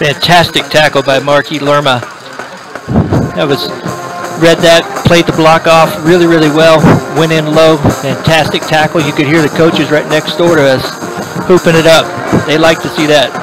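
A man talks at a moderate pace with long, frequent pauses. Music plays clearly in the background. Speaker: play-by-play commentator. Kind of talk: sports commentary. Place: stadium. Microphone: headset.

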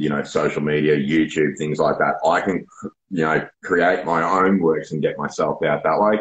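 A man talks at a moderate pace with a strong Australian accent. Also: quiet background. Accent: broad Australian. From Australia, Melbourne suburbs. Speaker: poet. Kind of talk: casual interview. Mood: open, reflective. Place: home room. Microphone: video call.

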